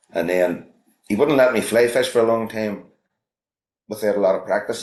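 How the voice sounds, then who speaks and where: A man with a Belfast accent, very fast pace, long and frequent pauses, quiet background. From Northern Ireland, North Belfast. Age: 50s. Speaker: fly fishing guide and instructor. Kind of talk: casual chat. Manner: halting, many repetitions.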